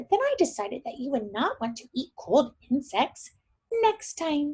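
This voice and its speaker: A woman puts on a character voice pitched high for a woman. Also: moderate pace. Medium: read story.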